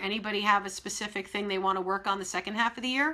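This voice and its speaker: Over a quiet background, a woman speaks in an energetic tone that is bright and sharp. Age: 50s. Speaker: business coach. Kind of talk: live-streamed webinar. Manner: direct. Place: office. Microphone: webcam.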